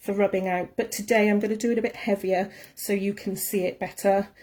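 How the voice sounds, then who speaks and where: A woman with a Welsh accent speaks at a fairly quick pace. Her fairly high voice has a dark, mellow tone. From Wales. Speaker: art tutor. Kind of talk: live tutorial. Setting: Facebook live stream. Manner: fast.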